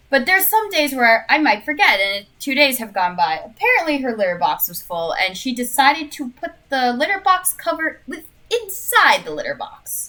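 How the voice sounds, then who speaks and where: Projecting a raised voice, a woman with an American accent speaks at a high pitch and a moderate pace, with very wide pitch swings, big shifts in loudness and hardly any pauses, against noticeable background noise. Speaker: vtuber streamer. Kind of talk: casual chat. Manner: halting.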